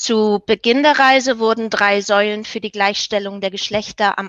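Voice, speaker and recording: A woman's fairly high voice, an ordinary speaking voice, fairly slow and fairly even in intonation, with a dry, close sound and no echo. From Germany, Hamburg. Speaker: hospitality professional and network leader. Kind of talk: interview. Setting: video call.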